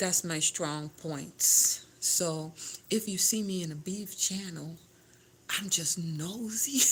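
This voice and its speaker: A woman in a Caribbean accent, medium in pitch, with fairly even intonation and a very slow pace. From Grenada. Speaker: home decor and lifestyle vlogger. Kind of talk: casual livestream chat. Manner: halting, with self-corrections.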